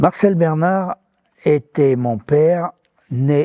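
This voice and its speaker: A man's dark, mellow tone comes through with ordinary pitch variation and a dry, close sound with no echo. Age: 80s+. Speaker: retired business founder, refrigeration technician. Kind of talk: interview testimony.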